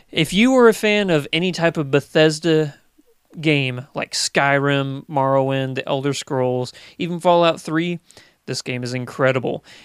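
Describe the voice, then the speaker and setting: A man's unremarkable speaking voice, pitched fairly high, moderately paced, with ordinary pitch variation. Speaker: guest movie podcaster. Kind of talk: casual chat.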